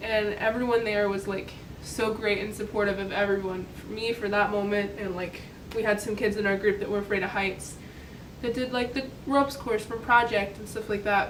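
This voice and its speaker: A woman with an American accent speaks at a moderate pace and medium pitch in a monotone, flat way. The recording has audible room echo and noticeable background noise. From US. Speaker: vlogger, college student. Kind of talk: casual vlog talk. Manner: casual, filler-heavy.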